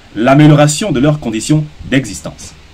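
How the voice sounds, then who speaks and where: A man's fairly high-pitched voice at a fairly slow pace, with noticeable background noise. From Gabon. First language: Gisir (speaking French). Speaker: social media commentator. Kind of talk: opinion monologue. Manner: formal; combative.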